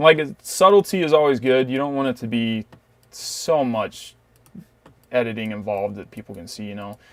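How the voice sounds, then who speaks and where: Big swings in loudness and long, frequent pauses mark this man's moderate-paced speech, which has lively intonation and a medium pitch, recorded very cleanly against a silent background. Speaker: photo editing tutorial creator. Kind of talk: tutorial. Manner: casual, filler-heavy.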